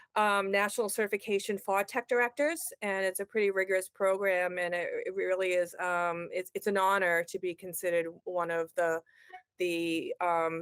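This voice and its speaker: The voice carries a strong Boston accent and fairly even intonation. The sound is dry and close, with no echo. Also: woman. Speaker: education technology consultant. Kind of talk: podcast interview. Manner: halting, many fillers.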